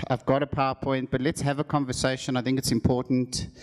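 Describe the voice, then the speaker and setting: A man speaks at a medium pitch. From South Africa (Johannesburg). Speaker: e-commerce executive. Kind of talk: conference talk. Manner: fast.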